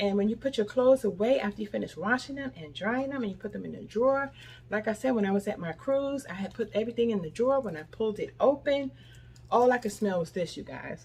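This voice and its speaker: A woman's very fast, somewhat breathy delivery, animated in tone, with lively intonation and big swings in loudness. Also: fairly high pitch for a woman. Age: 60s. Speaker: lifestyle vlogger. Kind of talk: product review vlog.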